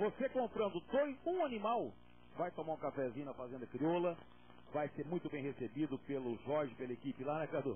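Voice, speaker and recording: With light background noise, a man speaks at a moderate pace with lively intonation. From Brazil. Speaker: rural auctioneer. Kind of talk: auctioneer announcing sale terms, then opening the auction. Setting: live auction event with an audience. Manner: salesman-like, upbeat, cheerful, addressing the crowd as friends. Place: studio. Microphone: handheld.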